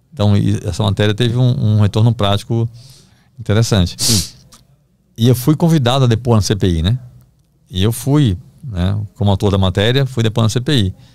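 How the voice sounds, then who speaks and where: At a moderate pace and with very even loudness, a man speaks with ordinary pitch variation and long, frequent pauses, in a dry sound with no echo. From Brazil, Recife (Pernambuco); Pernambuco, Brazil. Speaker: investigative journalist. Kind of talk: podcast interview, storytelling. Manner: casual, halting with repetitions. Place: studio. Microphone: studio mic.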